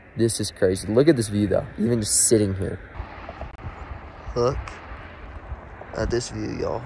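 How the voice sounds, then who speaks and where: A man talks with long, frequent pauses. Noticeable background noise runs behind him. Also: moderate pace. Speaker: fishing vlogger. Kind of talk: outdoor vlog commentary. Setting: outdoors by a mountain lake. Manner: halting.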